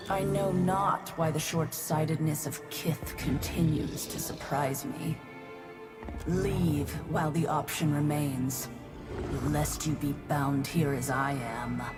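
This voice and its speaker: Over loud music in the background, a put-on character voice growls at a low-to-middle pitch and a fairly slow pace. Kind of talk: archaic, formal. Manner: ancient, imperious, warning.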